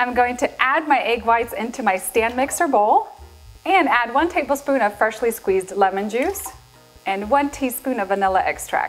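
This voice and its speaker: Faint music plays in the background. A woman talks at a high pitch and a moderate pace. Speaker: cooking show host. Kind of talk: tutorial. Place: kitchen. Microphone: lapel.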